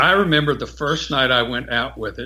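The man's voice has a bright, sharp tone and vocal fry. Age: 60s. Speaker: amateur astronomer, lunar section director. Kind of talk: interview.

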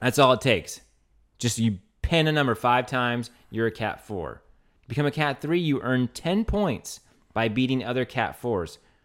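Speaking with an American accent, a man has an unremarkable speaking voice at a medium pitch. His intonation is lively and his pace moderate. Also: very clean recording, silent background. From Louisiana, US. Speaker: podcast co-host, race caller and race organizer. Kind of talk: casual banter podcast.

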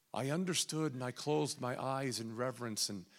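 In a plain, everyday voice, a man talks at a moderate pace, his pitch varying in an ordinary way. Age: 40s. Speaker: guest preacher. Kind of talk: sermon. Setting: church.

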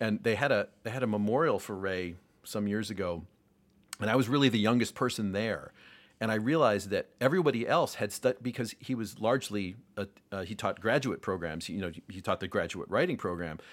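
Speaking with an American accent, a man has an unremarkable speaking voice, a fairly low pitch and ordinary pitch variation. His pace is fairly quick, and the recording is very clean with a silent background. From US Northeast, Rochester, New York. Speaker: jazz saxophonist and music educator. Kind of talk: casual interview conversation.

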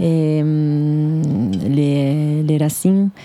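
A woman speaks with an Italian accent. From northern Italy, Dolomites. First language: Italian (speaking French). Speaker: chef. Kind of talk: interview. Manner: halting.

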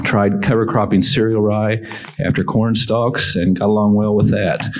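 A man speaks in a fairly low pitch with an American accent. There is noticeable background noise. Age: 50s. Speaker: farmer. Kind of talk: panel discussion.

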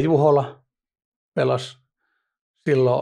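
Vocal fry marks a man's speech over a quiet background. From Finland, Vantaa (Hakunila). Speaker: professional poker player. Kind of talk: interview. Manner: halting, many fillers.

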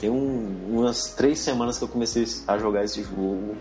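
Music plays in the background and audible room echo surrounds a man speaking at medium pitch. He talks at a fairly slow pace with ordinary pitch variation. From Brazil, Ceará. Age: 20s. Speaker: podcast host. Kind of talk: casual chat.

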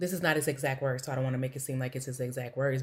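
Somewhat breathy, a woman speaks with an American accent in a very clean recording with a silent background. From US Midwest, East St. Louis, Illinois. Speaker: science teacher. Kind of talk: casual chat.

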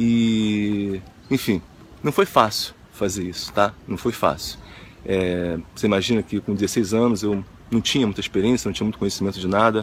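In a normal speaking voice, a man talks at a moderate pace with fairly even intonation and a fairly low pitch. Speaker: motivational video host. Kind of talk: motivational monologue.

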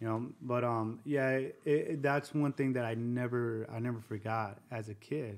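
A man in an American accent speaks at a moderate pace with hardly any pauses. His intonation stays fairly even. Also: medium pitch for a man. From Southern California (Covina, San Gabriel Valley). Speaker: army veteran. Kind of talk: testimony.

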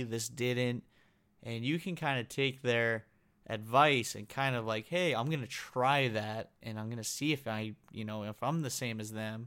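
In a very clean recording with a silent background, a man uses a normal speaking voice at medium pitch, with fairly even intonation and a moderate pace. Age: 20s. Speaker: podcast host, chronic illness patient. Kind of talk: solo podcast monologue. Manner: casual, many filler words.

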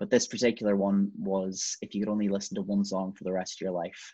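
A man with a Donegal accent at a fairly quick pace, against a quiet background. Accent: Donegal Irish. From Ireland, County Donegal. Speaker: singer-songwriter. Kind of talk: casual chat.

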